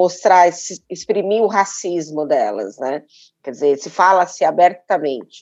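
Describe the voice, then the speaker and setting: An ordinary speaking voice moves at a moderate pace over a quiet background. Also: woman. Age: 50s. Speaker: podcast host. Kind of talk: interview; scripted intro.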